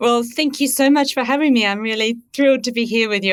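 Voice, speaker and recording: The pace is very fast. A woman delivers it at a fairly high pitch. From rural Australia. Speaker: veterinary scientist. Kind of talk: casual interview.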